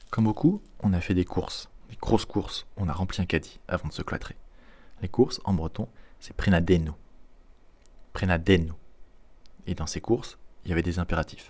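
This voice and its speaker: With long, frequent pauses, a man speaks in a very deep, low, somewhat breathy voice at a moderate pace, with ordinary pitch variation. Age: 20s. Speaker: podcast host. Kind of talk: casual language lesson. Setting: at home.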